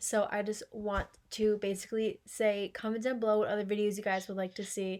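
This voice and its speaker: The recording is very clean with a silent background. A woman at medium pitch speaks at a fairly quick pace with monotone, flat intonation. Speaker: beauty haul vlogger. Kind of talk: casual haul video chat. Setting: home, sit-down filming to camera.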